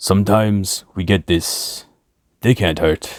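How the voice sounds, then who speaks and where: Using a put-on character voice, a man speaks at a fairly slow pace with a fairly low pitch, recorded very cleanly over a silent background. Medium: read story. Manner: terse, broken English.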